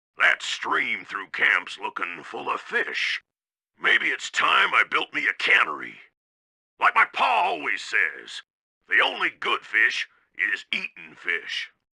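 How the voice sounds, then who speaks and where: This is a man doing a put-on character voice. He talks at a fairly slow pace. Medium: video game. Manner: folksy, boastful, drawling.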